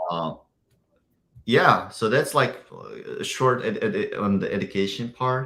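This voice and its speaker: Speaking fairly slowly with an Uzbek accent, the voice leaves long, frequent pauses. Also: man. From Uzbekistan. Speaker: software engineer. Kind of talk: interview. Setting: video call. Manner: halting.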